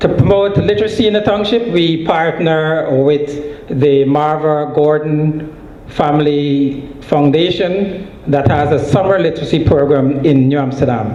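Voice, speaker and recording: With hardly any pauses, a man talks at a fairly slow pace and fairly high pitch, showing ordinary pitch variation and very even loudness amid noticeable background noise and audible room echo. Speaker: nonprofit organization leader. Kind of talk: conference presentation.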